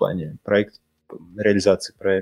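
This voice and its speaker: The man's voice is fairly low in pitch with fairly even intonation. The sound is dry and close, with no echo. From Russia, Saint Petersburg. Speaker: architect, firm founder. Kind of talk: casual interview. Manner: halting, many fillers and repetitions.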